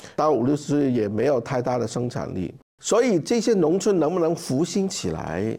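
At a moderate pace, a man with a fairly high pitch, a dark, mellow tone and vocal fry speaks with very wide pitch swings. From Hong Kong. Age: 50s. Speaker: charity founder. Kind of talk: interview conversation. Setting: conference room with live audience.

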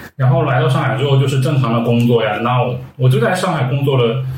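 A man with a Guangdong accent talks at medium pitch and a fairly quick pace, with noticeable background noise and audible room echo. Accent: Guangdong-accented Mandarin. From Guangdong, China. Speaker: fashion and food blogger. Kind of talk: casual chat.

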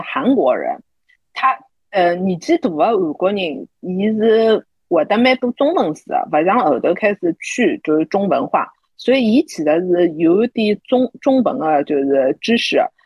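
Her pitch rises and falls very widely as the woman talks at a fairly slow pace. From Shanghai. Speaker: podcast co-host. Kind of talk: casual chat.

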